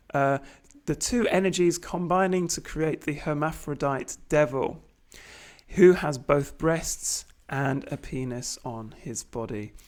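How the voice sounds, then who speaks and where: Very slow speech on a very clean recording with a silent background. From Britain. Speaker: tarot commentator. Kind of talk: lecture.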